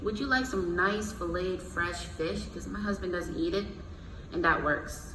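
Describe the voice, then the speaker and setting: A woman talks at an even, medium speed while the room echoes audibly and clear background noise carries on. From Jamaica. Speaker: corporate recruiter, guest speaker. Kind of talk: motivational talk to students. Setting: room with student audience. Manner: casual, conversational.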